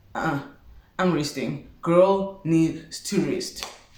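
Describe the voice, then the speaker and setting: A woman's moderately paced speech comes with audible room echo and clearly noticeable noise in the background. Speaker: vlogger. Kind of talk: storytime vlog. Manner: animated.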